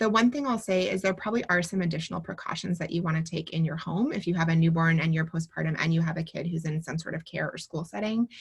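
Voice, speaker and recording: A woman speaks here. Her voice is somewhat breathy. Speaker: pediatrician. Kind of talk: webinar Q&A. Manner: fast.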